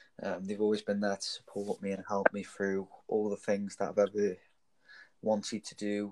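A man speaks at a moderate pace with a fairly low pitch. The sound is dry and close, without echo. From northern England (Stoke-on-Trent). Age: young. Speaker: podcast co-host. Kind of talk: casual chat.

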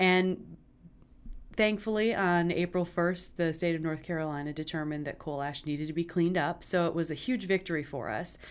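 On a very clean recording with a silent background, a woman with an American accent and a normal speaking voice talks at a fairly quick pace, her pitch fairly low with ordinary variation. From West Michigan (small town near Traverse City). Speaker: opera company executive director. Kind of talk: interview.

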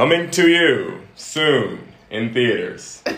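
A man puts on a high character voice and speaks at a very slow pace, with audible echo. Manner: theatrical, announcing.

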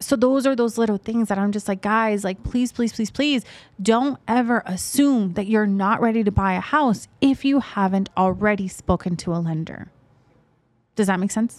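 A woman with an American accent speaks in a plain, everyday voice at a fairly high pitch. Her pace is moderate and her pitch variation ordinary. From Las Vegas, Nevada (North Las Vegas). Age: 20s. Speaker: realtor. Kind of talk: interview conversation.

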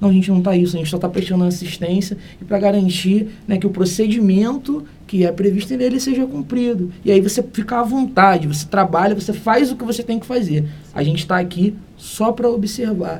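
A high male voice, fairly quick in pace and ordinary in pitch variation. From Brazil, Niterói (Rio de Janeiro state). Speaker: criminal lawyer, human rights coordinator. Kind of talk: interview.

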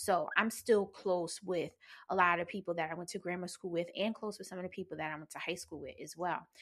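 A normal speaking voice from a woman, fairly low in pitch and fairly quick, with fairly even intonation and big swings in loudness. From New Jersey. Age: 40s. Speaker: podcast host, pleasure practitioner. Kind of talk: personal storytelling monologue. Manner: casual, frequent laughter.

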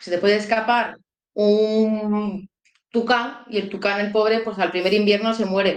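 Her intonation monotone and flat, a woman with a fairly high voice speaks at a fairly slow pace. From Málaga, Andalusia, Spain. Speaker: bird conservation volunteer. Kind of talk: interview. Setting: live stream.

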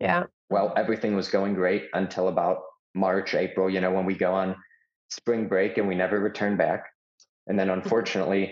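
Holding his loudness very even, a man with an American accent speaks fairly quickly in a very deep, low pitch with monotone, flat intonation. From Chicago, US Midwest. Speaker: conservative student activist. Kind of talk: interview storytelling.

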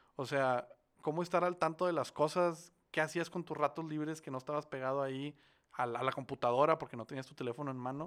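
This man has a normal speaking voice, pitched fairly high, and he talks at a fairly quick pace with fairly even intonation but big swings in loudness, in a very clean recording with a silent background. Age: 20s. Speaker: podcast co-host. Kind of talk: casual chat.

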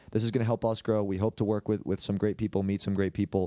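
Against a quiet background, a man with a fairly low pitch and a dark, mellow tone talks at a very fast pace in a dry, close sound with no echo. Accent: American. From Long Island, New York. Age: 20s. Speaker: podcast co-host. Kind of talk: casual chat.

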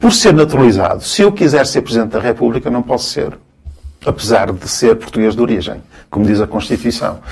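A man talks at a fairly quick pace with lively intonation and vocal fry. His pitch is medium. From Cabo Verde, then Angola; raised in Guimarães, Portugal from 1975. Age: 50s. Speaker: sociologist and university lecturer. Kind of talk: casual interview conversation.

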